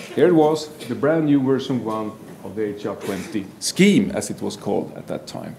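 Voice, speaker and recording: Moderate pace with noticeable background noise and audible room echo. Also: man. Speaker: forensic psychology professor. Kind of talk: conference presentation.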